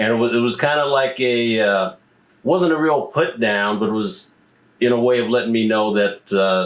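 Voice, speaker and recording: This is a man with a normal speaking voice, medium pitch, and ordinary pitch variation. He keeps a moderate pace and very even loudness. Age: 50s. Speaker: interviewer, musician. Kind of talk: interview.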